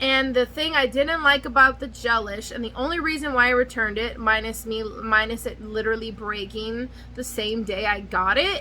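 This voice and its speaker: Through noticeable background noise, a woman speaks in an animated tone at a moderate pace and fairly high pitch, with ordinary pitch variation and hardly any pauses. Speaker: nail care youtuber. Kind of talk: casual product review vlog. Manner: rambling, scattered delivery.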